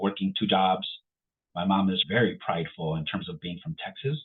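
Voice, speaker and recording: With a Chicago accent, a man talks at a moderate pace in a fairly low pitch. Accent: Chicago American English. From Chicago, Little Village. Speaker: Marine Corps veteran. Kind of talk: interview conversation.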